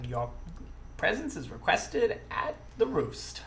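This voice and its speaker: A put-on character voice sounds croaky and moves at a fairly slow pace. Clear background noise sits behind it. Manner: formal, smiling.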